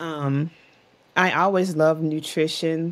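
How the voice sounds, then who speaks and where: At a very slow pace, a woman speaks with ordinary pitch variation. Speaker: podcast guest. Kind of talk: interview answer. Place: home room.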